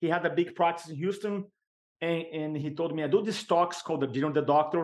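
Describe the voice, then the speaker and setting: A man with a Brazilian accent speaks at a high pitch. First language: Portuguese. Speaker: sales and speaking coach. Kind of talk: podcast interview.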